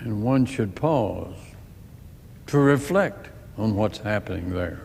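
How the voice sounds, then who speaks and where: A man speaks at a very slow pace in a solemn tone. His intonation is lively. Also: medium pitch for a man. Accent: American. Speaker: US senator. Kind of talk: formal political speech in a legislative chamber. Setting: legislative chamber, recorded speech. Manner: solemn, deliberate, impassioned.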